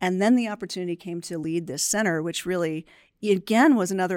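The speaker has an American accent and a plain, everyday voice. The sound is dry and close with no echo, on a very clean recording with a silent background. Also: woman. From New Jersey. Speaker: research center director. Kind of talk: podcast interview.

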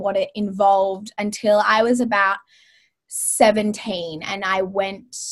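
A woman's fairly high voice with an Australian accent, at a very slow pace. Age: 20s. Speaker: wellness author and social media creator. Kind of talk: casual interview.

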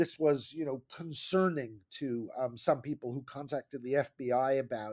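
At a moderate pace, a man with an American accent speaks in an unremarkable speaking voice. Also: dry, close sound with no echo. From New Jersey. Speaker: history professor. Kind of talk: interview.

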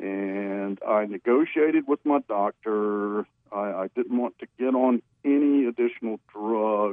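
A man speaks in a normal speaking voice at a medium pitch. His pace is fairly slow, with ordinary pitch variation. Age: 60s. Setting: phone call.

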